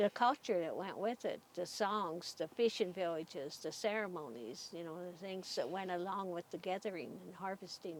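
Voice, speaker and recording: A woman with an American accent and a plain, everyday voice talks at a moderate pace in a fairly low pitch, with ordinary pitch variation and big swings in loudness. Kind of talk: interview answer.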